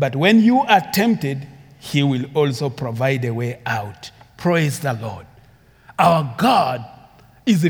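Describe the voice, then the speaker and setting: Somewhat breathy, a man speaks at a fairly high pitch with lively intonation. His pace is very slow. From Uganda. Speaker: preacher. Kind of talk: sermon. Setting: church.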